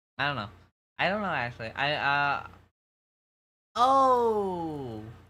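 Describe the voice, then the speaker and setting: In an American accent, a bright, sharp voice moves through very wide pitch swings at a very slow pace, with audible room echo. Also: man, fairly high pitch for a man. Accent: slight New York accent that slips out. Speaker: streamer. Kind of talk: casual chat. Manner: halting, many fillers and restarts.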